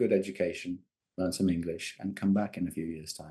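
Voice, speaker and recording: A man's dark, mellow voice with an English accent. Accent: English accent when speaking Georgian. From Georgia, raised in UK from young age. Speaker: novelist. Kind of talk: interview. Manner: hesitant, many fillers.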